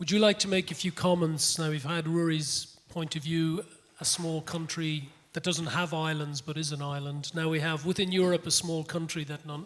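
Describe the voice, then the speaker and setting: A man with an Irish accent speaks at a fairly quick pace. His voice is fairly high, with monotone, flat intonation. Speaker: panel moderator. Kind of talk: panel discussion. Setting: conference with audience.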